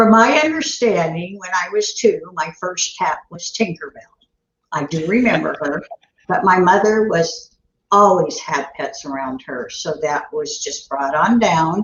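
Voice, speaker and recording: At a fairly slow pace, a woman with a somewhat breathy, medium-pitched voice speaks with lively intonation. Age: 70s. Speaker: dog trainer. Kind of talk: interview answers.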